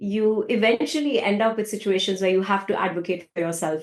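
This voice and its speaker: With a non-native accent, a woman speaks at a medium pitch. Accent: foreign. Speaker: tech data leader. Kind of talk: podcast interview.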